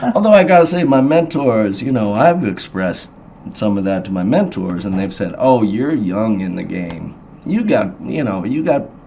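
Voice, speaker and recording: In an American accent, a man of medium pitch talks at a moderate pace with very wide pitch swings, amid noticeable background noise and audible room echo. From Indiana, Hendricks County. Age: 40s. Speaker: blues musician. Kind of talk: radio interview. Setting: studio. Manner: halting.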